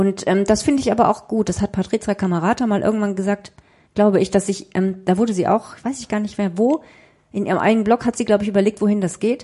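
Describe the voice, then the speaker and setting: Very fast and somewhat breathy, a woman's dark, mellow, medium-pitched voice holds a fairly even intonation. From southern Germany (Freiburg im Breisgau), northern German family. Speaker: journalist and author. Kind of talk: interview.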